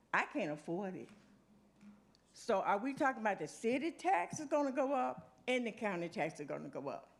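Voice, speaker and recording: A woman speaks with vocal fry and very wide pitch swings. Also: medium pitch for a woman, moderate pace. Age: 70s. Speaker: retired resident. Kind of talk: public comment.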